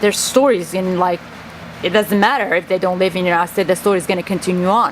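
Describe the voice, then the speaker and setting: A woman with a Kurdish accent speaks at a medium pitch and a very fast pace. Noticeable background noise sits behind her. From Kurdistan. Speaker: vlogger. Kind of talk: personal monologue vlog. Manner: halting.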